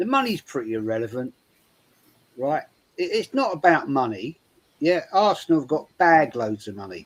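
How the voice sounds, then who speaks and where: At a moderate pace, a man speaks in a fairly high pitch with very wide pitch swings and big swings in loudness. Long, frequent pauses break up his speech. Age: 60s. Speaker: football fan panelist. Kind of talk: casual chat.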